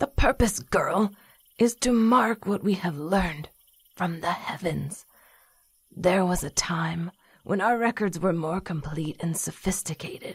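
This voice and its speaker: A put-on character voice at a middle pitch speaks at a fairly slow pace. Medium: audio drama. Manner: stern, instructive.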